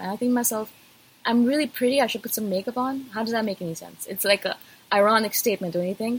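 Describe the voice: A woman speaks fast with a slightly husky edge.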